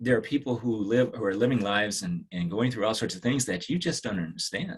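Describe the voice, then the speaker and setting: This man has a plain, everyday voice with an American accent. He talks at a fairly quick pace with medium pitch and ordinary pitch variation. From Washington DC area. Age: 60s. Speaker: dermatologist. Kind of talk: podcast interview. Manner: reflective, with frequent fillers and restarts.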